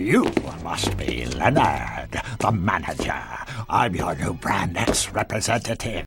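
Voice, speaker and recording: In a put-on character voice, the speaker whispers at a fairly slow pace. Faint music plays in the background. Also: man. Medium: voice reel.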